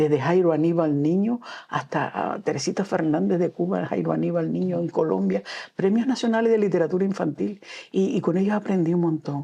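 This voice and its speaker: Woman's fairly low voice in a Canarian accent, dark and mellow in tone, with lively intonation at a moderate pace. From Canary Islands (Gran Canaria). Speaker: storyteller and children's author. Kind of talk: interview. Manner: halting.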